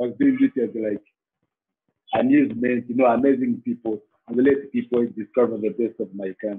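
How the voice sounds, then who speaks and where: In a Rwandan accent, a man speaks at a moderate pace. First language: Kinyarwanda. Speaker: safari tour operator. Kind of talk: interview. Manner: halting.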